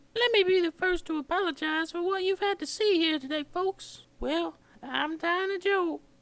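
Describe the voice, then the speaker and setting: The speaker uses a put-on character voice. It sounds squeaky. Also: woman, extremely high pitch for a woman, moderate pace. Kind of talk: comic infomercial testimonial. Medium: comedy sketch.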